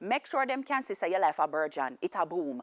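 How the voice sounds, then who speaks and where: A woman with a Jamaican accent talks at a fairly quick pace with very wide pitch swings, in a dry, close sound with no echo. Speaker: comedian. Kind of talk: comedic monologue.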